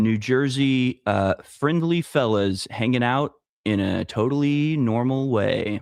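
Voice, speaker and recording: Speaking very slowly, a man keeps to a medium pitch and ordinary pitch variation. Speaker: livestream host. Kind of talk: casual chat.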